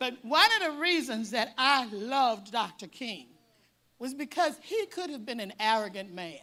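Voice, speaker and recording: Talking at a moderate pace, a woman with an American accent uses a high voice with very wide pitch swings and big swings in loudness. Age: 70s. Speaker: speaker at a parent symposium. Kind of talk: speech to an audience.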